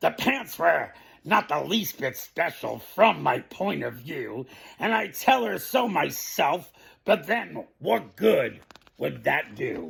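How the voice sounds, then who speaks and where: A man puts on a raspy, high-pitched character voice and delivers it at a fairly slow pace. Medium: read story. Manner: breezy, talkative.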